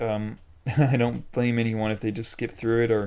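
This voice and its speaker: The pitch of this man's voice sits at a medium level. He talks at a moderate pace. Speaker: gaming video creator. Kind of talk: gameplay commentary. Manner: monotone; hesitant, many fillers.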